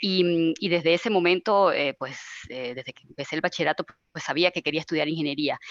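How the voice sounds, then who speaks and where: Talking at a very fast pace with a Venezuelan accent, a woman with a fairly low pitch shows ordinary pitch variation and big swings in loudness, in a dry, close sound with no echo. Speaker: IT service manager. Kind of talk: webinar panel discussion. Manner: hesitant, many fillers.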